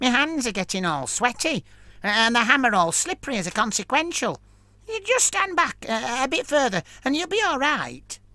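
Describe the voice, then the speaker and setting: At a moderate pace, this man performs a put-on character voice pitched extremely high. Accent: Cockney. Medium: read story. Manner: cheeky, teasing.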